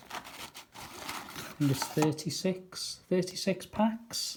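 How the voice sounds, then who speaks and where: There's noticeable background noise, and the speech moves at a very slow pace. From Merseyside, England. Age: 60s. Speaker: trading card and sticker seller. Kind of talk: casual unboxing video.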